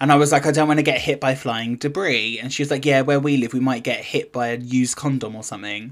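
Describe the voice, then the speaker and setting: Someone with a British accent talks at a very fast pace with fairly even intonation and hardly any pauses. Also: man, medium pitch for a man. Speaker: podcast co-host. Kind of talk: casual chat.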